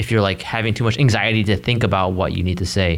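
A man with a fairly low voice talks over noticeable background noise. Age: 20s. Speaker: advice podcast co-host. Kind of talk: casual chat.

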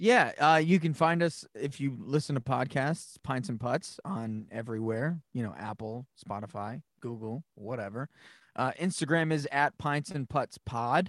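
On a very clean recording with a silent background, a man with an ordinary speaking voice, a fairly high pitch, and lively intonation talks at a fairly slow pace with hardly any pauses. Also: dry, close sound with no echo. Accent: American. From New England, Massachusetts. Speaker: podcast co-host, creative business owner. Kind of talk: casual chat.

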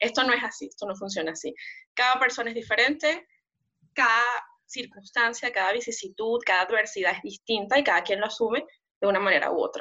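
A woman talks at a fairly quick pace with lively intonation. She has a normal speaking voice. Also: fairly high pitch for a woman. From Venezuela. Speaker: migrant guest. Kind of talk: testimony.

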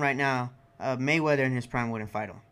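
Talking at a fairly quick pace, a man uses a normal speaking voice with ordinary pitch variation. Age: 20s. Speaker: podcast co-host. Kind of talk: casual chat.

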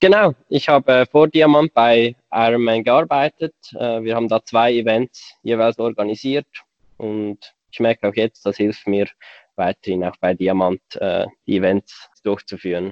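Speaking fairly slowly with a Swiss German accent, a man keeps a medium pitch with ordinary variation. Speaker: podcast co-host, bicycle company employee. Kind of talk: casual chat.

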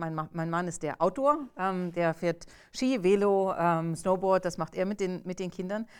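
A woman speaks at a medium pitch with ordinary pitch variation and a moderate pace. The recording is very clean, with a silent background. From East Germany, Magdeburg. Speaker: AI ethics researcher. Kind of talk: interview. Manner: halting, many fillers.

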